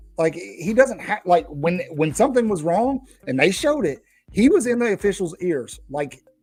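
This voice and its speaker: With music in the background, a man speaks at a moderate pace in a high, animated voice that swings very widely in pitch. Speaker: sports podcast host. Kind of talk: casual chat.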